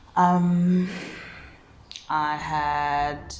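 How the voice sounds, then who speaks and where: A woman speaks over noticeable background noise. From South Africa. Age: 30s. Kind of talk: casual talk to camera. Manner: reflective, hesitant.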